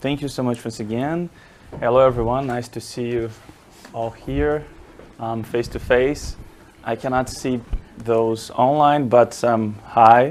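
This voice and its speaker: A man with a Portuguese accent speaks at a fairly slow pace, his pitch medium. His intonation stays fairly even, broken by long, frequent pauses. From Brazil, Rio de Janeiro. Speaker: marketing professor. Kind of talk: academic presentation. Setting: lecture room with audience, also streamed online.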